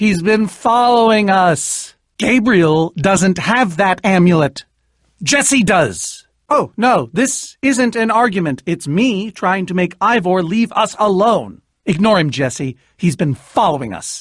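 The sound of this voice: A man does a put-on character voice, pitched high and delivered at a slow pace with lively intonation. The recording is very clean with a silent background.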